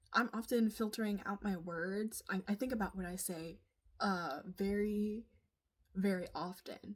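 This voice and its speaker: Speech here moves at a moderate pace. A somewhat breathy quality runs through it. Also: woman. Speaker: vlogger. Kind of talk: casual monologue.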